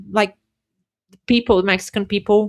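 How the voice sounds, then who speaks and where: On a very clean recording with a silent background, a woman speaks at medium pitch in a Portuguese accent. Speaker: immigration worker and language teacher. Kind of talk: podcast interview.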